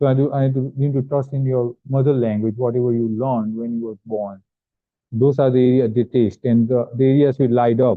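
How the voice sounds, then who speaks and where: Monotone and flat in intonation, a man at medium pitch talks at a fairly quick pace. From India (Gujarat). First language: not English. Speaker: visiting neuroradiology professor. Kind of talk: lecture. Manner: halting, with fillers.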